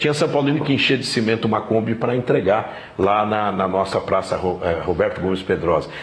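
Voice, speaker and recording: At a fairly quick pace with hardly any pauses, a man speaks at a fairly low pitch with ordinary pitch variation and very even loudness, over noticeable background noise and audible room echo. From Brazil, São Paulo (east side). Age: 60s. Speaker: football club president. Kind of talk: interview. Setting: club training ground, evening.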